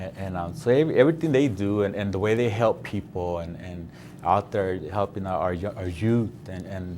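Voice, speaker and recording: A man with an American accent speaks in a fairly low voice at a moderate pace, with hardly any pauses. His pitch varies in an ordinary way while his loudness swings widely. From South Central Los Angeles. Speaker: painter. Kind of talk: interview. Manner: halting, many fillers.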